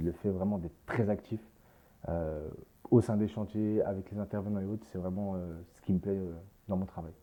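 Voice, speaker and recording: Moderate in pace but with long, frequent pauses, a man speaks in a dark, mellow tone with fairly even intonation and big swings in loudness. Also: fairly low pitch for a man. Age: 20s. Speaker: construction management student. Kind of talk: interview with site tour. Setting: construction site. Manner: hesitant, many fillers.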